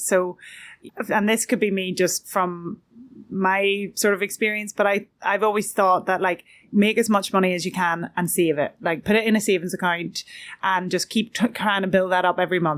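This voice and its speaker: Fairly even intonation at a moderate pace, in an Irish accent. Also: woman. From Ireland. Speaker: podcast host. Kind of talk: interview question.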